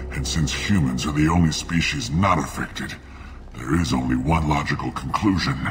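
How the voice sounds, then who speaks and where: A man performs in a put-on character voice. Clear background noise can be heard. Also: moderate pace. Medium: video game. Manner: coughing, weak, bitter.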